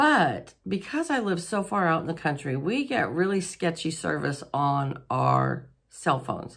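Against a quiet background, a woman with vocal fry speaks at a fairly slow pace, her pitch swinging very widely. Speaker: home vlogger. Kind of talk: casual vlog chat. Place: home room.

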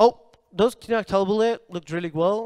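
With a Spanish accent, a man speaks at a moderate pace against a quiet background. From Colombia. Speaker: coding bootcamp student; presenter. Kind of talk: product demo pitch. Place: hall. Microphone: handheld.

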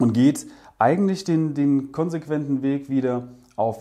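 Over a quiet background, a man's voice carries a dark, mellow tone and lively intonation. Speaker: product reviewer. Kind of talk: product review talk to camera. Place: studio. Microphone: lapel.

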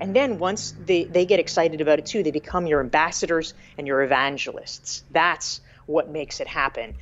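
Faint music plays in the background as a woman with an American accent speaks at a fairly quick pace, fairly low in pitch, with ordinary pitch variation. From US South, North Carolina. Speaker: business author and professor; professor. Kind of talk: casual interview chat. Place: home room. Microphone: earbuds.

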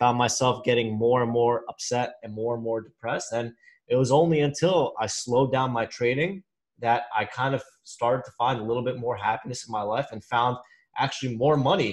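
Speaking at a moderate pace, a man uses a medium pitch with fairly even intonation. His voice is somewhat breathy. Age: 20s. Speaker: stock trader. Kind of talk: casual chat.

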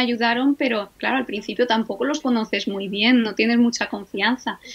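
In a high pitch, a woman speaks with fairly even intonation. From Spain, Alicante; Spain. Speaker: Egyptologist, professor; professor. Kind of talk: interview conversation. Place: home room. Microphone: video call.

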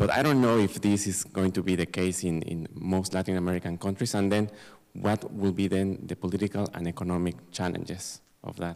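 A man with a Spanish accent and a very deep, low pitch, fairly even intonation and a fairly quick pace, over a quiet background. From Mexico. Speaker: audience member. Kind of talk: Q&A question; audience question at panel. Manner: halting. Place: hall. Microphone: handheld.

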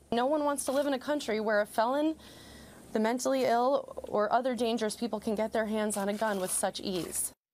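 Against light background noise, a woman talks fairly quickly in a fairly high voice with ordinary pitch variation. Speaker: comedian and actress. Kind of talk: press conference statement. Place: meeting room. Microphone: podium.

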